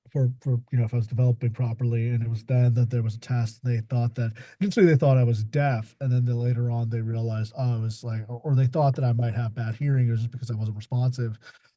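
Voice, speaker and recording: Talking at a very fast pace with hardly any pauses, a man with a medium pitch sounds somewhat breathy, his dark, mellow tone carrying fairly even intonation. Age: 30s. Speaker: author. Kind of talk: panel discussion. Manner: halting, repeats words.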